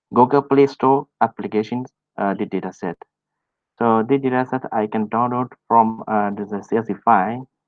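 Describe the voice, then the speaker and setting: A man with a Burmese accent, fairly quick in pace and fairly even in intonation. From Myanmar. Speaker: data professional trainer. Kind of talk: online presentation. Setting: online meetup, screen share. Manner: halting, many fillers.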